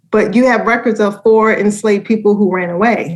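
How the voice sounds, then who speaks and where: A woman with an American accent, fairly high-pitched, at a moderate pace and with fairly even intonation. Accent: Baltimore accent, comes through when relaxed. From Baltimore, Maryland. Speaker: educator and foundation director. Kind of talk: podcast interview.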